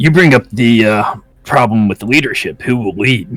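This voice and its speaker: A man's put-on character voice, raspy and medium-pitched, with lively intonation at a moderate pace over faint background music. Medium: actual play. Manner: persuasive, salesman-like.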